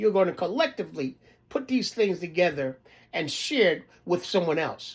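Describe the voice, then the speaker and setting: High-pitched male voice with lively intonation, on a very clean recording with a silent background. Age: 60s. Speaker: preacher. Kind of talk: sermon. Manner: halting.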